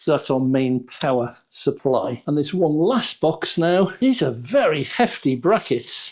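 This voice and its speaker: A man with a British accent speaks at a fairly slow pace in a fairly high voice, his pitch swinging very widely while his loudness stays very even and he hardly pauses at all. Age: 70s. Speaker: YouTuber, product reviewer. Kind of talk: unboxing review. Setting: home studio.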